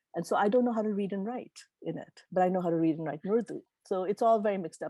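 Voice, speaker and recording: A woman at a medium pitch with a dark, mellow tone and ordinary pitch variation, very fast pace, dry, close sound with no echo, and a quiet background. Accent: Gujarati. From Tanzania. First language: Gujarati. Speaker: keynote speaker. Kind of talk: Q&A answers at a virtual meeting.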